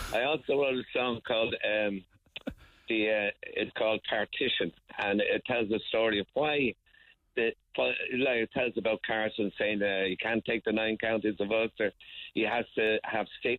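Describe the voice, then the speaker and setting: This man has an Irish accent. His intonation stays fairly even and his loudness very even. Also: medium pitch for a man, moderate pace. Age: 70s. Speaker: folk musician and songwriter. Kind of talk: radio interview. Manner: halting.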